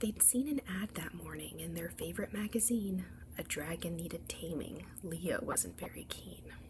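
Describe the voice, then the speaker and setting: Soft-spoken delivery at a moderate pace with noticeable background noise. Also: woman. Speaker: ASMR storyteller. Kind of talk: bedtime story read-aloud.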